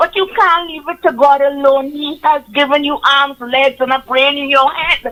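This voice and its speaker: A woman with a Trinidadian accent, high in pitch, with fairly even intonation at a moderate pace. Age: 70s. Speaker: caller. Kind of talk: call-in opinion. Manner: impassioned.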